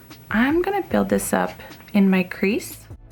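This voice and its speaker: A woman's voice with music in the background. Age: 30s. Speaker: beauty vlogger. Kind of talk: makeup tutorial and haul. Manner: quiet, hushed; casual, chatty.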